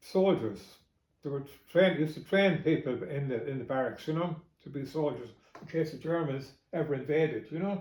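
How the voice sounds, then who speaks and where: This man talks at a fairly quick pace with an Irish Midlands accent. His fairly high voice is somewhat breathy, and the room echo is audible. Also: ordinary pitch variation. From Ireland, County Longford. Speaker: family member recalling memories. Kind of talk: oral history interview. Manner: halting, with fillers.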